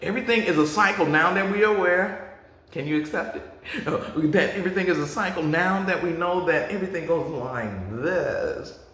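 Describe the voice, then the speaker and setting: An animated tone comes at a moderate pace with ordinary pitch variation. Audible room echo and noticeable background noise fill the recording. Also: man, high pitch for a man. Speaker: spiritual livestream host. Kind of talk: motivational spiritual talk to viewers.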